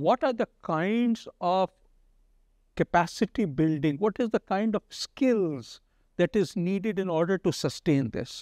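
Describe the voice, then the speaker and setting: A high-voiced man talks with lively intonation at a fairly slow pace. The sound is dry with no echo, and the background is quiet. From India. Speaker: talk show host. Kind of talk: interview. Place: studio. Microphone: lapel.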